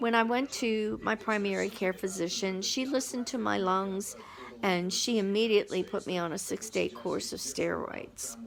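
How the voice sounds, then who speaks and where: This woman has a plain, everyday voice, pitched at a medium level and moving at a moderate pace. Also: lively intonation. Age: 60s. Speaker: vlogger. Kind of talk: personal testimony. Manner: casual, conversational.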